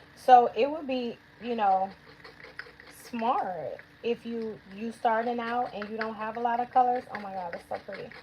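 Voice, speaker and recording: Over noticeable background noise, a woman talks at a fairly slow pace in a fairly high pitch with an animated tone. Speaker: nail technician and educator. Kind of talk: livestream tutorial. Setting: livestream.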